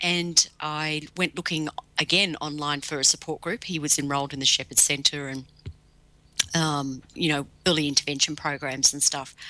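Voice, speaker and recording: A woman's very deep, low voice with a bright, sharp tone, fairly even intonation, an Australian accent and a moderate pace. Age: 50s. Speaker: cyber safety educator. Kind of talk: interview. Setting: video call.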